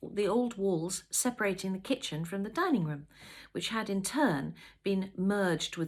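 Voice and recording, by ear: The text is read aloud in a natural voice.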